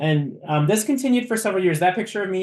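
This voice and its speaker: A man speaks with an American accent against a quiet background. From US Midwest, Minnesota. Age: 30s. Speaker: university diversity officer. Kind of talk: webinar presentation. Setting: video webinar. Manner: hesitant, many fillers.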